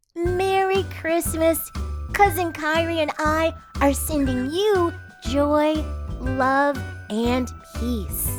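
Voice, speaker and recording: A cartoonish character voice, pitched high, moves at a very slow pace with long, frequent pauses while clear music plays in the background. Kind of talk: children's holiday greeting narration. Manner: cheerful, warm.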